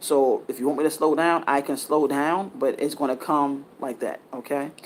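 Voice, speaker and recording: An unremarkable speaking voice at a moderate pace, with fairly even intonation. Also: man, fairly high pitch for a man. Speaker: spiritual content creator. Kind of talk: spiritual monologue.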